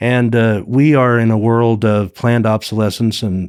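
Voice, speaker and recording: Recorded very cleanly against a silent background, a man with an unremarkable speaking voice talks at a moderate pace with fairly even intonation. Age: 60s. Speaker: wreck diver and explorer. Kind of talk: casual chat.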